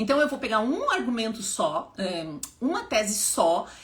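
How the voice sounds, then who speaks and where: Her tone animated, a woman speaks at a moderate pace with very wide pitch swings over noticeable background noise. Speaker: public speaking teacher and activist. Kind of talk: live stream talk. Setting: live stream at home.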